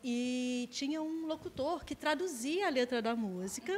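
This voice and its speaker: This woman's voice moves through very wide pitch swings. Her pitch rises and falls sharply. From Brazil, Nova Iguaçu (Rio de Janeiro state). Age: 30s. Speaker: English teacher. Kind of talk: casual interview chat.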